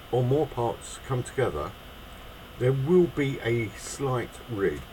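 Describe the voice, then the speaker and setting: In a British accent, a man talks at a fairly slow pace with a medium pitch. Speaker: miniature figure painter. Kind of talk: tutorial.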